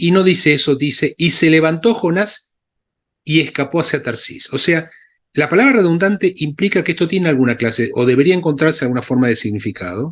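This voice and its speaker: Over a silent background in a very clean recording, a man talks with lively intonation at a fairly high pitch. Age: 60s. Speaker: Bible scholar and synagogue Torah reader. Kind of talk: lecture with Q&A discussion. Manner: halting, with many fillers and self-corrections.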